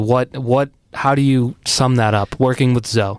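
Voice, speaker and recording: A man with an American accent and a normal speaking voice talks at a medium pitch with ordinary pitch variation, in a very clean recording with a silent background and a dry, close sound with no echo. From Arlington, Massachusetts. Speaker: podcast host. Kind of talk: casual interview chat.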